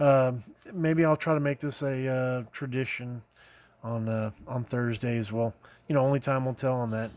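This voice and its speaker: A man with an American accent mumbles at a moderate pace. His pitch is medium and his intonation fairly even. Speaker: scale model builder, YouTuber. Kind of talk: casual show-and-tell video. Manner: halting, many fillers; mumbling, rambling.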